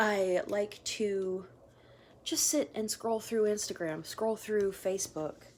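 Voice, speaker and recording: A woman speaks very slowly at a medium pitch. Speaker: makeup artist. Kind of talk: casual tutorial vlog. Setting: at home, sitting on the floor.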